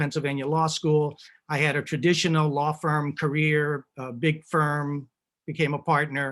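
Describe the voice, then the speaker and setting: A man with an American accent speaks at a fairly quick pace in a fairly high pitch. The recording is very clean, with a silent background. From US South, Tampa, Florida. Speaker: lawyer and board member. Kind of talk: panel discussion. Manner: hesitant, many fillers.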